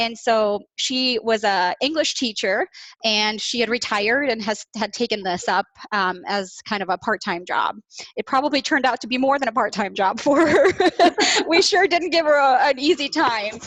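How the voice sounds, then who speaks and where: A woman with a Midwestern accent talks at a moderate pace, her fairly high voice carrying lively intonation. The sound is dry and close, with no echo. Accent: American Midwest. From Bosnia, raised from childhood in Iowa. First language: Bosnian. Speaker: business manager. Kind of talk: interview. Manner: hesitant, many fillers.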